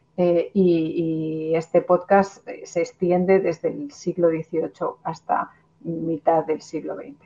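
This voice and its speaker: Speech comes at a very slow pace in a Spanish accent, with fairly even intonation. The loudness swings widely. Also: woman, fairly low pitch for a woman. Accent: Spanish (Spain). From Spain. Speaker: cultural manager and researcher. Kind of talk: interview.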